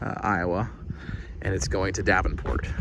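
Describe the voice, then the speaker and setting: A soft-spoken man at a moderate pace, with audible room echo and noticeable background noise. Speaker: truck driver vlogger. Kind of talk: casual vlog talk to camera. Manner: hesitant, many fillers.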